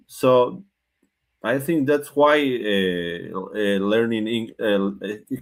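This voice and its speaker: This man speaks with a Spanish accent. His pitch is medium, with ordinary pitch variation. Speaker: English learner. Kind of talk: conversation practice. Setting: online live session. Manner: halting.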